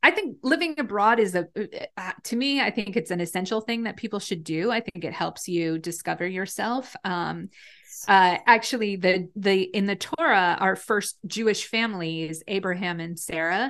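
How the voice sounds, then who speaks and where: This woman has an unremarkable speaking voice at a medium pitch. She talks at a moderate pace. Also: ordinary pitch variation, quiet background. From US Northeast, northwest New Jersey. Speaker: rabbi. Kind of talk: casual interview.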